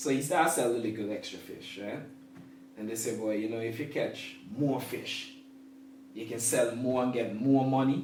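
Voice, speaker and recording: A man with an Antiguan accent speaks at a medium pitch and a moderate pace, with fairly even intonation and long, frequent pauses. Audible room echo and noticeable background noise fill the recording. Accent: Antiguan Caribbean English. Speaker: sports management professional. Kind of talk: casual interview; storytelling.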